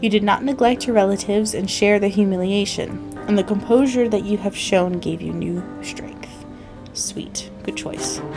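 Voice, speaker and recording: With music playing behind it, the talking proceeds at a moderate pace. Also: woman. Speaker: gaming YouTuber. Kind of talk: let's play commentary and reading game text aloud.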